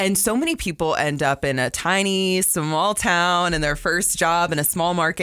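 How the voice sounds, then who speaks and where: A woman's voice with a bright, sharp tone. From US South, South Florida. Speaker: sports broadcaster. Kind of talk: casual chat.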